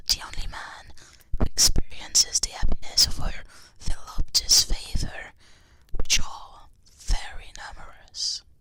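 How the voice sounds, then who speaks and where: The speaker is a woman. She is whispering. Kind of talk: ASMR book reading. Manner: whispered.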